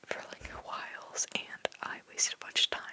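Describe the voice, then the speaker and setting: Someone whispers over noticeable background noise. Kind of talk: ASMR whisper video, casual talk while drawing. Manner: whispered, rambling, casual.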